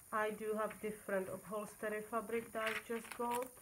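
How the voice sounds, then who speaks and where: A woman talks at a fairly slow pace in an unremarkable speaking voice. Her pitch is fairly high. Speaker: junk journal maker and seller. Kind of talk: product flip-through video.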